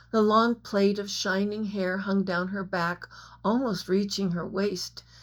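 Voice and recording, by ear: The speaker is reading aloud in a natural voice. The intonation is fairly even.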